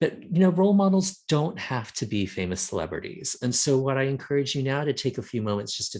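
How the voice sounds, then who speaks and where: The speaker sounds somewhat breathy, moving at a fairly quick pace with very wide pitch swings against a quiet background. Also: man. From Texas. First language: Thai. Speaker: nonprofit representative, presenter. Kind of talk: educational presentation.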